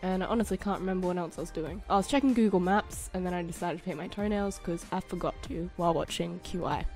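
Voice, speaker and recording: A woman's medium-pitched voice at a very fast pace, with ordinary pitch variation, hardly any pauses and music in the background. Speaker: model and actress. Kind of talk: vlog voiceover.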